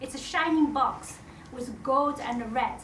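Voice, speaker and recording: In a Chinese accent, a woman speaks at a high pitch with ordinary pitch variation, over noticeable background noise and audible room echo. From China, Shanghai. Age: middle-aged. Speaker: storyteller. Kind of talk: stage storytelling. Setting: stage with audience.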